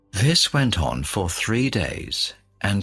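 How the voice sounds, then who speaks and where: A man's voice rises and falls in very wide pitch swings while music plays behind him. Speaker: radio host. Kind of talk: reading aloud. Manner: slow; clear.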